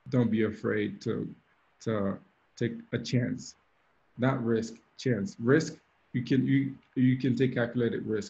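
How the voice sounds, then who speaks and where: A man's dark, mellow, medium-pitched voice with vocal fry, fairly even intonation, a fairly slow pace and long, frequent pauses. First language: French (also Creole). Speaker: DJ and mentor. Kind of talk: mentorship talk on video call. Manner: hesitant, with fillers and repetitions.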